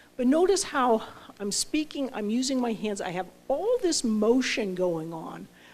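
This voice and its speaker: Speaking at a fairly slow pace, a woman uses a high pitch with very wide pitch swings. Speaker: professor. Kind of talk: lecture. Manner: careful enunciation.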